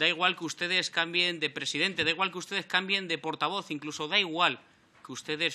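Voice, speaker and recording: A man with a bright, sharp tone. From Spain. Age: 30s. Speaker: member of parliament. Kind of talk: parliamentary speech. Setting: parliament chamber. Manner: formal. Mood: combative, reproachful. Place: meeting room. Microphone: podium.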